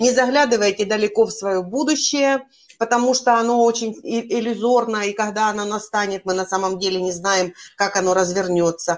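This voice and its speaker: A plain, everyday voice from a woman, moderate in pace, fairly high in pitch, with ordinary pitch variation. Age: 50s. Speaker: life coach. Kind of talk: casual interview.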